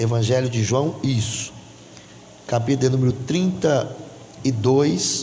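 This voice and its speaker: Here a man talks at a fairly slow pace with a medium pitch. Audible room echo and noticeable background noise surround his voice. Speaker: pastor. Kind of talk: sermon. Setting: church. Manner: loud.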